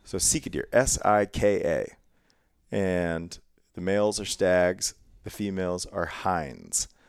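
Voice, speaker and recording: Speaking in an American accent, a man talks at a fairly low pitch with ordinary variation. His pace is very slow. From Ohio, US Midwest. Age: 30s. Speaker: podcast host, hunter. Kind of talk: casual interview chat.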